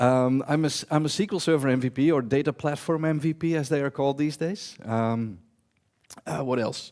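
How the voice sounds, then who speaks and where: A man speaks with a Dutch accent. His pitch is fairly high. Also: ordinary pitch variation, fairly quick pace. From eastern Netherlands. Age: 40s. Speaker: database technology conference speaker. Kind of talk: conference talk. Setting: stage with audience. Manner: fast; loud.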